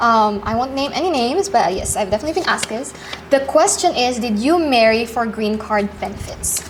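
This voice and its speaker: A woman's high voice at a fairly quick pace, with lively intonation and noticeable background noise. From Philippines and Qatar. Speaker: vlogger. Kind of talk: casual chat. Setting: at home.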